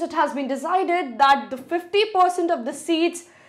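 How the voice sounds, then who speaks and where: A woman speaks at an extremely high pitch. The background is quiet. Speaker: exam coaching teacher. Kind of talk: news explainer lecture. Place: studio. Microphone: lapel.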